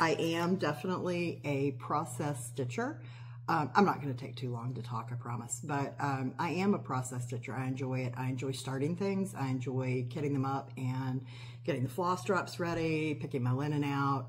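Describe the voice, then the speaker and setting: Somewhat breathy and very deep, a woman's low voice moves at a moderate pace with ordinary pitch variation against light background noise. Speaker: cross-stitch hobby vlogger. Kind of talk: casual vlog chat. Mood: relaxed, chatty. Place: kitchen. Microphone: phone near.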